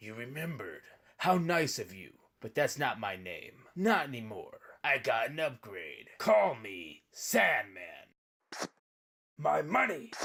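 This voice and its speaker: A man puts on a cartoonish character voice with a fairly high pitch. He speaks at a fairly slow pace with long, frequent pauses, on a very clean recording with a silent background. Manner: menacing, taunting.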